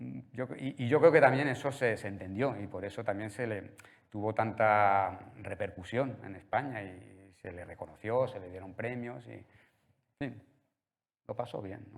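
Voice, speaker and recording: A man speaks at a fairly slow pace with a fairly low pitch and ordinary pitch variation. His loudness rises and falls in big swings. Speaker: art museum director. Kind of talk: public talk at gallery opening. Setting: art gallery with live audience. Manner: hesitant, many fillers and repetitions.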